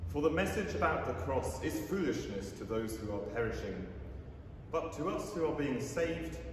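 Audible room echo surrounds a man's voice. There is light background noise. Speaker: lay reader. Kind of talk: reading aloud. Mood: calm, solemn. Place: church.

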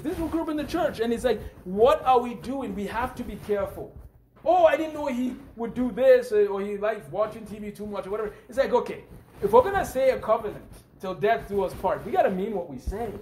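A man at an extremely high pitch, with ordinary pitch variation and a very fast pace, over noticeable background noise. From Nigeria. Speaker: preacher. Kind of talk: sermon.

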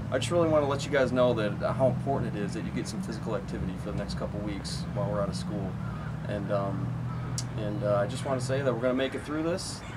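Very fast speech from a man amid loud background noise. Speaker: school coach. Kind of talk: encouraging message to students. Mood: warm, encouraging. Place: street. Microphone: camera far.

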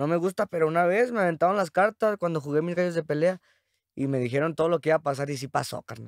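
Over a quiet background, the voice moves at a very fast pace with ordinary pitch variation and a dry sound with no echo. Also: man. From Mexico, San Luis Potosí. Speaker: rapper; podcast guest. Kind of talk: casual chat. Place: studio. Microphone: studio mic.

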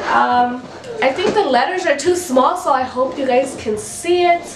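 Noticeable background noise accompanies this recording. A woman speaks at a high pitch and a moderate pace. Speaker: mom vlogger. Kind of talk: casual vlog chat. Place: home room.

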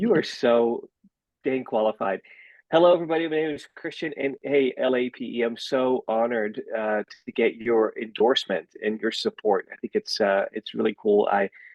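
A man speaks at a moderate pace in a Dutch accent. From Netherlands. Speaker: school board candidate. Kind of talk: campaign introduction. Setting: video call. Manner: hesitant.

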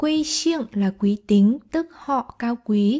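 A woman's somewhat breathy voice with a dark, mellow tone, very slow pace and ordinary pitch variation, on a very clean recording with a silent background. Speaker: Chinese language teacher. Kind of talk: tutorial.

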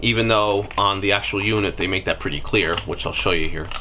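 A man talks at a moderate pace while light noise sits in the background. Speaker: product reviewer. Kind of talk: unboxing tutorial. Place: workshop.

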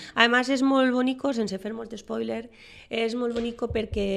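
A woman speaks with a Valencian accent. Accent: Valencian Catalan. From Valencia region, Spain. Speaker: writer and teacher; teacher. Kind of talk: radio interview. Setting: radio studio. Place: studio.

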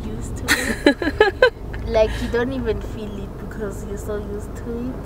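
Over noticeable background noise, a woman talks at a fairly slow pace with big swings in loudness. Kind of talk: casual vlog chat. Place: car. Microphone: phone near.

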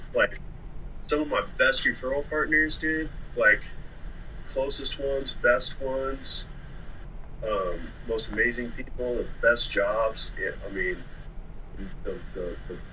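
Light background noise is present. The speaker is a man. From Oklahoma City. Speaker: moving company owner, former Marine. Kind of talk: casual interview chat. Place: home room. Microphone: video call.

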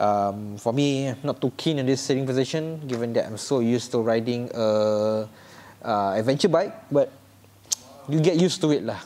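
A man speaks in a Singaporean accent at a medium pitch. His pace is moderate, with ordinary pitch variation. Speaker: motorcycle vlogger. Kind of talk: vehicle review vlog. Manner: animated.

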